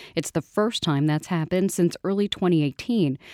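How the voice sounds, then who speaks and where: A woman speaks in a plain, everyday voice at a moderate pace and medium pitch, with lively intonation. The sound is dry and close with no echo, on a very clean recording with a silent background. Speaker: local radio news host. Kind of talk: news reading. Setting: studio. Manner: formal.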